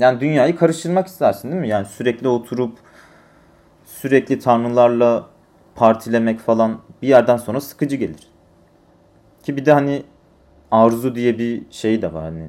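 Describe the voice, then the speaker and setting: Pausing long and often, a man speaks at a medium pitch in a dark, mellow tone. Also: ordinary pitch variation. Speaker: solo podcaster. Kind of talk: solo monologue storytelling. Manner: slow, thoughtful; hesitant with fillers.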